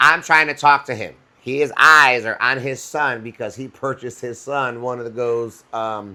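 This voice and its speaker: A man speaks with an American accent in an animated tone. His voice is bright and sharp. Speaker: podcast co-host; instructor. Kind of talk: casual chat. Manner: loud.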